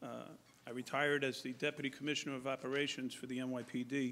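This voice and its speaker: A man with a Bronx accent and monotone, flat intonation. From New York, Bronx. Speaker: police chief. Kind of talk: public forum presentation. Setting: public forum at podium.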